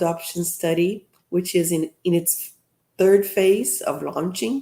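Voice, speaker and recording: In a Brazilian Portuguese accent, the voice moves at a fairly slow pace with a dark, mellow tone and ordinary pitch variation. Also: woman. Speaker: professor and seminar host. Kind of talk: event welcome address. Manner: halting with fillers.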